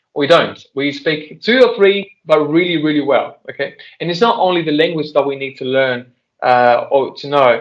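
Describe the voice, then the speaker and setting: With a Spanish accent, a man speaks in a fairly high pitch with lively intonation. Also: moderate pace. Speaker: translator and interpreter. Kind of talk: Q&A discussion with students. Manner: halting.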